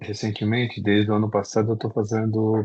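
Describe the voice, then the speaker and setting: Delivery moves at a moderate pace. Its intonation stays monotone and flat. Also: man. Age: 60s. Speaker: participant, quality professional. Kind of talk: casual chat.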